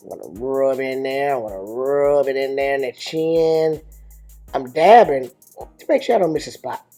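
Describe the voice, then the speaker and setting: With music in the background, a man speaks in a playful, amused tone at a fairly high pitch, a moderate pace and ordinary pitch variation. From Africa. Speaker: father of the channel owner. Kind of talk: humorous makeup tutorial voiceover.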